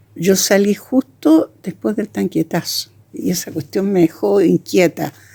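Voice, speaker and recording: Speaking at a fairly slow pace, a woman with a fairly low pitch and a dark, mellow tone uses lively intonation and some vocal fry. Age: 80s+. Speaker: actress and theatre director. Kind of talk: testimony. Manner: halting.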